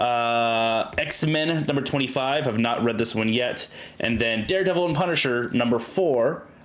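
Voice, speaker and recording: A man's medium-pitched voice with ordinary pitch variation and very even loudness, amid noticeable background noise and audible room echo. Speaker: podcast host. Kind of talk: casual chat. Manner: slow.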